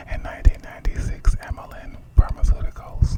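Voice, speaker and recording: Moderate-paced whispering amid noticeable background noise. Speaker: ASMR creator. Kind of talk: reading aloud.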